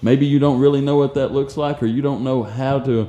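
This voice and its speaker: At a fairly quick pace, a man with an unremarkable speaking voice talks at a medium pitch. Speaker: ministry director and radio co-host. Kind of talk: casual chat. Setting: studio.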